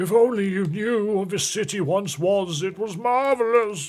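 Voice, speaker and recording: Here a man performs a put-on character voice at a high pitch. The pace is moderate. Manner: wistful, nostalgic.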